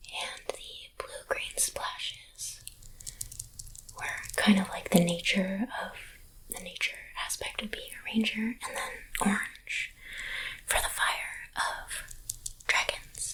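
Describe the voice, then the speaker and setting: Whispering at a very slow pace with long, frequent pauses, a woman's loudness swings widely over noticeable background noise. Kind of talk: ASMR dice show-and-tell. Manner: whispered.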